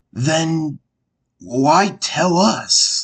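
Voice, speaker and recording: A man puts on a cartoonish character voice at a fairly high pitch. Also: ordinary pitch variation. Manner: calm, firm.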